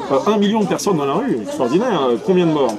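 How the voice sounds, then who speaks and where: Very wide pitch swings amid audible room echo and crowd noise in the background. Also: man. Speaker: nationalist writer and activist. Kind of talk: casual political discussion. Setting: café. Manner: loud.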